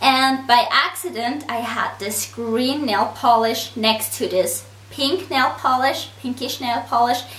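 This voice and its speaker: Against noticeable background noise and audible room echo, a woman with a high pitch talks at a very slow pace with ordinary pitch variation and hardly any pauses. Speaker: nail art YouTuber. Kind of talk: tutorial.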